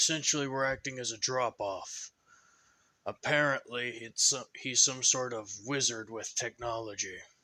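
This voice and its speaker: A man speaks at a moderate pace in a put-on character voice, medium in pitch with fairly even intonation. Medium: read story. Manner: weary, sighing, grim.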